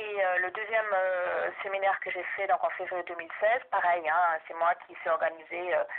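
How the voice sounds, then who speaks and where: A woman with a fairly low voice keeps a moderate tempo and fairly level intonation. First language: German (speaking French). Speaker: researcher and university language teacher. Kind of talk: research interview. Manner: hesitant, many fillers.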